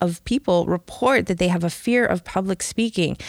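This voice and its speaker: With an American accent, a woman speaks at a moderate pace and medium pitch with ordinary variation, the sound dry and close with no echo and the recording very clean against a silent background. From Chicago. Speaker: podcast host. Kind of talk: interview. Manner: laughs often.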